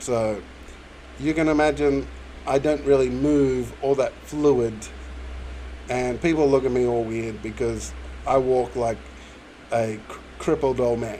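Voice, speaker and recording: Noticeable background noise runs under a man of medium pitch who speaks at a fairly slow pace with fairly even intonation and long, frequent pauses. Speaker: YouTuber. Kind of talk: Q&A monologue. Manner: halting.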